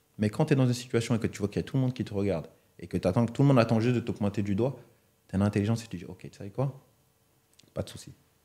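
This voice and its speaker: A man's dark, mellow voice at a very fast pace, with long, frequent pauses, big swings in loudness and a quiet background. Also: ordinary pitch variation. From Cameroonian family, raised in France. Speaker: retired footballer; guest. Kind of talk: interview. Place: studio. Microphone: studio mic.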